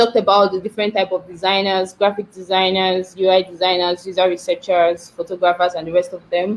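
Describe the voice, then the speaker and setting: A woman at medium pitch speaks in a monotone, flat way at a fairly quick pace with hardly any pauses. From Nigeria. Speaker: product designer. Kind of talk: talk on a live stream. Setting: live online stream.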